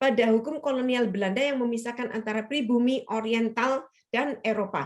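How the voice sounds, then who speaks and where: A woman talks in a high register, her pitch varying in an ordinary way. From Indonesia, Surabaya (Chinese-Indonesian). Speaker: lecturer, writer and feminist. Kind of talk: webinar interview. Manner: casual, conversational with fillers.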